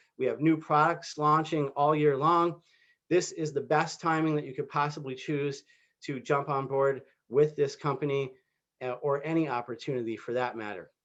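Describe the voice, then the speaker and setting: A normal speaking voice from a man, fairly high in pitch, with fairly even intonation and a moderate pace over a quiet background. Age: 40s. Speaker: network marketing recruiter. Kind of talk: sales pitch. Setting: video call.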